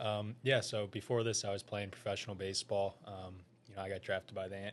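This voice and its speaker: A man's fairly low, flat, monotone voice with an American accent, very fast, with big swings in loudness. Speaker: financial advisor, former pro baseball player. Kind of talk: casual interview. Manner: soft-spoken.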